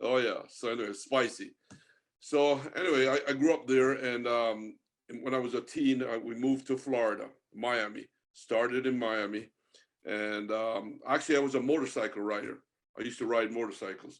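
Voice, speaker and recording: A man with a Jamaican accent speaks at a fairly quick pace and medium pitch, with fairly even intonation. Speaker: marine artist and angler. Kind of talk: podcast interview. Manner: casual, chatty with fillers.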